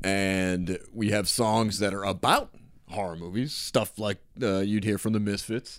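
In an unremarkable speaking voice, a man talks fairly slowly at a fairly low pitch with fairly even intonation, recorded very cleanly over a silent background. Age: 30s. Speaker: podcast host. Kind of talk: casual chat.

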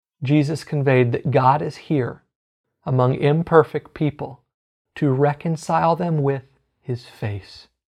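With an American accent and an ordinary speaking voice, a man talks at a fairly slow pace, his pitch fairly high and its variation ordinary. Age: 30s. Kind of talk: teaching sermon. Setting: live online broadcast.

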